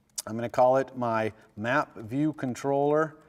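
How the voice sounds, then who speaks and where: A man is heard in a dry, close recording with no echo. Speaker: university lecturer. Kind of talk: lecture with live coding demo. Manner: fast.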